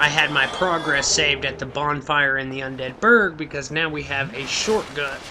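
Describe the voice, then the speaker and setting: Noticeable background noise accompanies a speaker with an American accent who talks at a fairly slow pace. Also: man. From Oklahoma City, US. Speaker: gaming youtuber. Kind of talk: let's play commentary. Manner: casual, hesitant with fillers.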